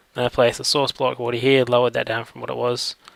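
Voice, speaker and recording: A man's medium-pitched, flat monotone in a dry, close sound with no echo. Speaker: gaming let's play creator. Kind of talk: gameplay commentary. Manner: casual, hesitant with fillers.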